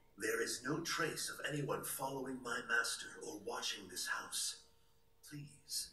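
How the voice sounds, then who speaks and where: A man's cartoonish character voice at a fairly slow pace, with slight echo and clear background noise. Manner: measured, formal.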